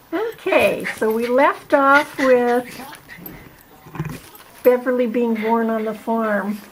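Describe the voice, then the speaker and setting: A high-pitched woman at a very slow pace with long, frequent pauses and ordinary pitch variation, over noticeable background noise. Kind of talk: interview questions.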